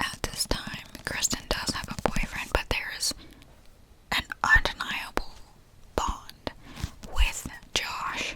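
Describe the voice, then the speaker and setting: Someone whispers in a relaxed tone. Noticeable background noise is present. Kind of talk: ASMR book review / reading wrap-up, rambling to camera. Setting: ASMR recording with tapping sounds. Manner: whispered, relaxed.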